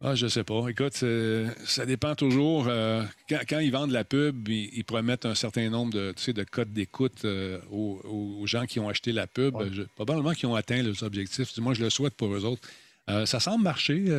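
A man with a Quebec accent speaks at a medium pitch and moderate pace with ordinary pitch variation, the sound dry and close with no echo. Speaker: podcaster and former TV host. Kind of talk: casual chat. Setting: live stream. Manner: animated.

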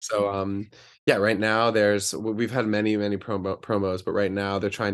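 A man with an American accent speaks in a fairly low voice, his intonation flat and monotone. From US South, Charlotte, North Carolina. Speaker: Broadway actor. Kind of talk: interview. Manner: halting, many fillers.

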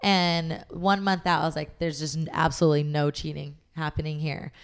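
A plain, everyday voice moves at a fairly quick pace with fairly even intonation in a very clean recording with a silent background. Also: woman. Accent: American. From Southern California, Long Beach. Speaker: fitness and nutrition coach. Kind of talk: casual interview chat.

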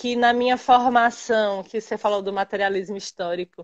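A woman speaks at a fairly high pitch in a dry, close recording with no echo. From interior of Bahia, Brazil. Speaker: physical education teacher. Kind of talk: casual chat. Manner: loud.

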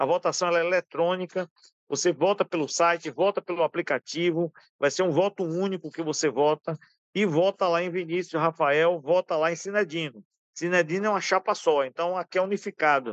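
The delivery comes at a moderate pace with fairly even intonation, in a dry, close sound with no echo. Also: man, high pitch for a man. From Brazil, Bahia (Alagoinhas). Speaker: retired oil worker and union candidate. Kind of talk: interview.

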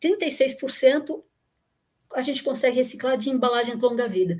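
The pace from this woman is fairly slow. Her pitch is high. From São Paulo, Brazil (born in Rio Grande do Sul, moved at nine). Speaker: engineer and recycling expert, former lecturer. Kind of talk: casual chat.

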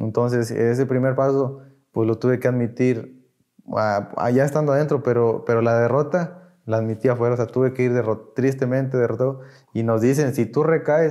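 The voice is an unremarkable speaking voice. It moves at a moderate pace with fairly even intonation. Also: man, medium pitch for a man. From Mexico, Tamaulipas. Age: 20s. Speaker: recovering addict. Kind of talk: testimony.

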